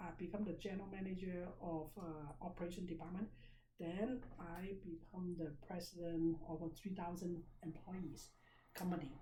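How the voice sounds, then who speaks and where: Audible room echo surrounds a woman whose fairly low pitch stays monotone and flat at a moderate pace. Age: 60s. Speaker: business seminar teacher. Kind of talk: seminar lecture. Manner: conversational, interactive.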